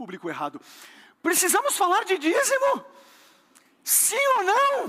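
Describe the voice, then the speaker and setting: A man speaks in an animated tone. His voice is raised and projected, with a bright, sharp tone. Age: 30s. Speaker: pastor. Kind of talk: sermon. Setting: church with congregation.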